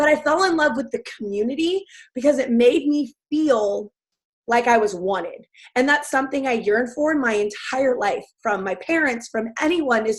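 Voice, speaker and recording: A woman with an American accent speaks loudly at a high pitch. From US South. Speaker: fitness coach. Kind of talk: testimony. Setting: webinar.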